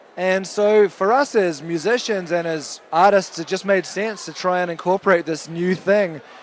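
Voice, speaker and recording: Fairly even intonation marks this man's high-pitched voice, delivered with a New Zealand accent. Noticeable background noise runs behind him. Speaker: rock band member. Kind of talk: interview.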